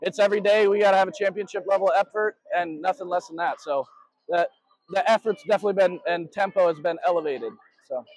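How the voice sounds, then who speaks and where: A man's voice, high-pitched and very fast, with fairly even intonation and a dry sound with no echo. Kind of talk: interview answer. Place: stadium. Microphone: handheld.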